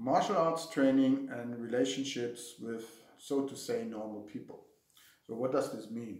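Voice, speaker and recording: With audible room echo, a man with a German accent speaks at a fairly slow pace, medium in pitch with ordinary pitch variation and big swings in loudness. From Germany. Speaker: martial arts instructor. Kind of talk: casual talk to camera. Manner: halting, with fillers and repetitions.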